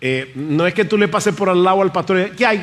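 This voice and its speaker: A man's high voice, animated in tone, with ordinary pitch variation. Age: 60s. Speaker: pastor. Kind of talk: sermon.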